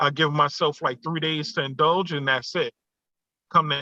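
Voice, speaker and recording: Here a man speaks at a moderate pace. His pitch is fairly high, and his intonation fairly even. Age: 40s. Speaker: fitness group leader. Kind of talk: podcast interview. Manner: hesitant, with many fillers.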